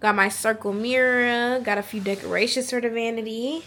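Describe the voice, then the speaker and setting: With an American accent, a woman speaks in a normal speaking voice, fairly high in pitch, with ordinary pitch variation. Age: young (19). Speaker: nursing student vlogger. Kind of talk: casual vlog chat. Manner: casual, chatty.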